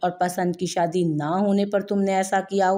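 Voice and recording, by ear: A natural voice, reading aloud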